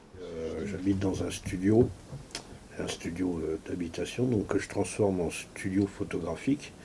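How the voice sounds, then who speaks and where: A man talks fairly slowly in a very deep, low voice. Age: 60s. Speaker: retired amateur photographer. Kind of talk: documentary interview; giving directions during photo shoot. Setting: home photo studio. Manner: hesitant, many filler words.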